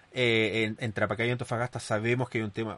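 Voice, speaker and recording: Delivered at a very fast pace, the speech has a dry, close sound with no echo. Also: man. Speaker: podcast host. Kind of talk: commentary monologue. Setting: studio.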